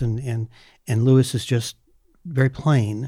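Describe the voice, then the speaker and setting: The voice is somewhat breathy, with fairly even intonation and a fairly slow pace. It is a very clean recording with a silent background. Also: man. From California. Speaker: teacher. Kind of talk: casual chat.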